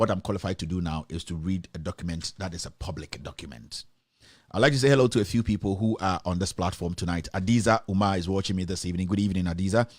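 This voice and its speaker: A man with a Ghanaian accent speaks very fast in a very deep, low voice with ordinary pitch variation, in a very clean recording with a silent background. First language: not English. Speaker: online news show host. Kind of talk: live stream news commentary. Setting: live stream. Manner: hesitant, many fillers.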